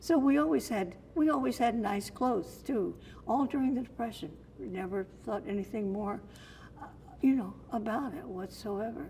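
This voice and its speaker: This woman has an American accent and a fairly high pitch, with vocal fry and a dark, mellow tone. Her pitch swings very widely at a moderate pace. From Sarasota, Florida. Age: 80s+. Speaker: storyteller. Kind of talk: interview answer.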